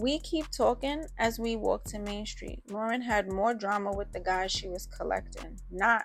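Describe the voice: Ordinary pitch variation in plain reading aloud.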